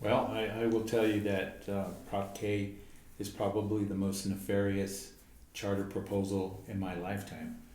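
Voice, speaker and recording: A man with an American accent speaks at a fairly low pitch in a monotone, flat intonation, with noticeable background noise and audible room echo. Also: moderate pace. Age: 70s. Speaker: home builders association member. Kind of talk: interview.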